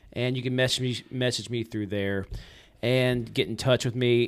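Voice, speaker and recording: Male voice at medium pitch with ordinary pitch variation, an ordinary speaking voice. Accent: American. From Richmond, Virginia, then Georgia from age twelve. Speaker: videographer and drone show operator, former police officer. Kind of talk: casual interview chat. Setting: studio.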